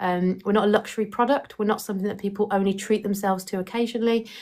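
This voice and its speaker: In an English accent, a woman speaks at a very fast pace in a flat monotone, on a very clean recording with a silent background. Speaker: independent book sales partner recruiting others. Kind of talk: live stream recruitment talk answering chat questions. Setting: live stream with chat.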